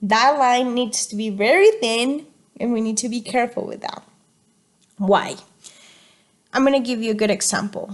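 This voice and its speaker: A woman with a Spanish accent speaks at a fairly high pitch with ordinary variation. She takes long, frequent pauses. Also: moderate pace. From Colombia. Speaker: student. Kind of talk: class presentation. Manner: halting.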